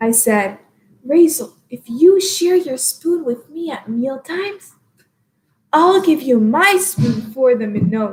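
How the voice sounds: Using a put-on character voice, a woman talks at a fairly slow pace in a high, shaky pitch.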